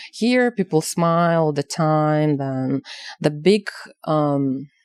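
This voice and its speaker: In a Ukrainian accent, a woman speaks with a very deep, low pitch and ordinary pitch variation, the sound dry and close with no echo. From Ukraine, village. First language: Ukrainian or Russian. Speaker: activist and exhibition curator. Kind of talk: interview. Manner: halting, many fillers.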